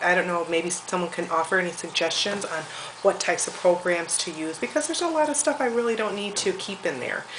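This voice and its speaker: Someone talks at a very fast clip over noticeable background noise. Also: woman, medium pitch for a woman. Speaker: homesteader. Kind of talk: casual talk to camera. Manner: rambling, hesitant.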